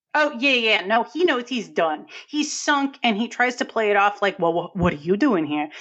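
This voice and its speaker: At a moderate pace with hardly any pauses, a woman with a New England accent speaks at a fairly high pitch, making very wide pitch swings. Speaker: film podcast co-host. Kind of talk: casual chat.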